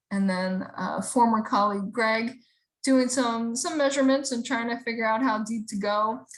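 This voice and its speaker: A woman's somewhat breathy, fairly high-pitched voice. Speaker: rain garden presenter. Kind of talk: webinar presentation. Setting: online video call.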